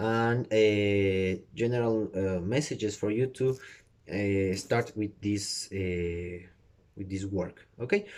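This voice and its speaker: A man's fairly low voice with a Spanish accent, very slow and fairly even in intonation, on a very clean recording with a silent background. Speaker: tarot reader. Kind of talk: tutorial. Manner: halting, many fillers.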